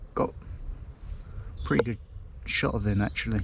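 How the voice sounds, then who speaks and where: A man speaks with an English accent. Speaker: outdoors vlogger. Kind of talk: casual vlog narration. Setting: outdoors in woods.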